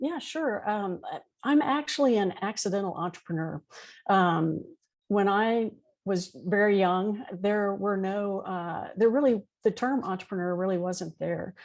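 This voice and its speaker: With an American accent, a woman speaks in a normal speaking voice at medium pitch, using ordinary pitch variation at a fairly slow pace against a quiet background. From Texas, Houston. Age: 60s. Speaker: entrepreneur. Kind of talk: interview.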